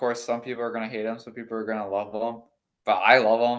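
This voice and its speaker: This is a man speaking at a medium pitch. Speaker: interviewee, amateur runner. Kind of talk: casual chat.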